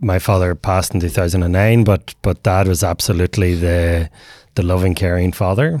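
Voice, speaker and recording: In a Northern Irish accent, a man talks at a moderate pace with a very deep, low pitch on a very clean recording with a silent background. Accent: Northern Irish (Tyrone). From Northern Ireland, Omagh, County Tyrone. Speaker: men's mental health program co-founder. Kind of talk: interview conversation.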